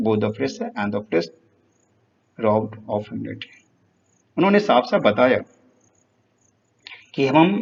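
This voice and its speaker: This man talks at a moderate pace. He leaves long, frequent pauses. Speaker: teacher. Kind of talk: lecture.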